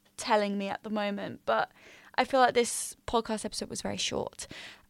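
A woman speaks with an English accent. Her pitch sits fairly high. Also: very clean recording, silent background. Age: 20s. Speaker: podcast host, university student. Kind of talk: casual monologue. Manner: chatty, filler-heavy; stumbling over words.

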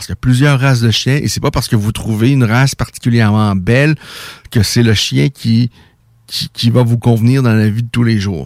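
In a normal speaking voice, a man of medium pitch talks at a fairly quick pace with ordinary pitch variation, the sound dry and close with no echo. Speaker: radio host of a combat sports show. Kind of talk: radio talk show. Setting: radio studio.

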